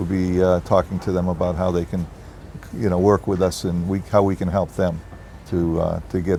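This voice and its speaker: A man with a Boston accent speaks at a moderate pace in a flat monotone, his pitch very deep and low, with noticeable background noise. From US Northeast, Boston. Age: 70s. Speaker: real estate executive. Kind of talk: interview. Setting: on location at a resort development.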